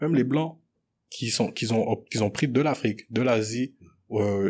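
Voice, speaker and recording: On a very clean recording with a silent background, a man talks in an ordinary speaking voice at a moderate pace, his medium pitch showing ordinary pitch variation. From Montreal (Anjou, Rivière-des-Prairies), Congolese-born. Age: 20s. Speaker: business student. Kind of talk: casual debate.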